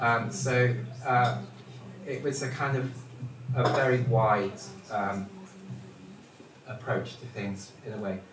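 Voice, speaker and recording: Noticeable background noise and audible room echo surround a man talking at a very slow pace with long, frequent pauses. His medium pitch stays fairly even in intonation. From Wales. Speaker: dance magazine editor. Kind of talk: panel discussion.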